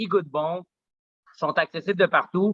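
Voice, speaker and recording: A man at a moderate pace. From Quebec (Saint-Eustache area), Colombian parents. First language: Spanish (speaking French). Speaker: smoothie bar owner. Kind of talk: podcast interview. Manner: many fillers and repetitions.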